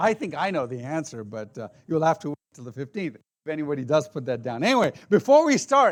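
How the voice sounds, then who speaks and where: The recording of this man is very clean, with a silent background. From Indian heritage, raised in many countries. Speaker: apologetics speaker. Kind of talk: seminar talk. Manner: loud.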